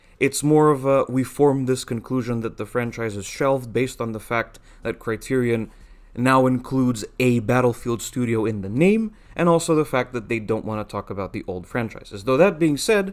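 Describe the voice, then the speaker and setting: Speaking with a non-native accent, a man keeps a moderate pace, medium pitch and ordinary pitch variation. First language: not English. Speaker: gaming YouTuber. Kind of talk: casual commentary monologue.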